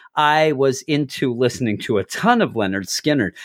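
A man with an East Coast American accent at a moderate pace, very wide pitch swings, in a very clean recording with a silent background. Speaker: comic book podcast host. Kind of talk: casual chat.

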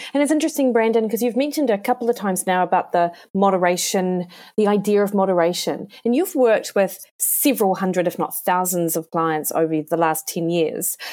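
A woman speaks at a medium pitch in a plain, everyday voice, talking at a fairly quick pace on a very clean recording with a silent background. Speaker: podcast host. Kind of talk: podcast interview.

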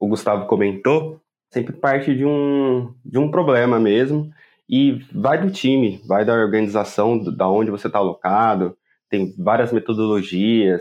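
This man has an unremarkable speaking voice at a medium pitch, with lively intonation. He keeps a fairly slow pace and very even loudness. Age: 20s. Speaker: software engineer. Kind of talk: casual interview.

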